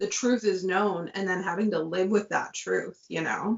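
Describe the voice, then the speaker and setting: A normal speaking voice carries the speech at a moderate pace. Its pitch varies in an ordinary way. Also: woman. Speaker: author on book discussion panel. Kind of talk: casual chat.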